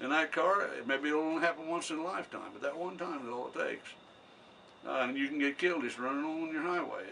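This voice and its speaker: Talking at a very fast pace, a man with a fairly high pitch shows ordinary pitch variation. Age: 80s+. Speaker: war veteran. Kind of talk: interview answer. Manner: conversational storyteller.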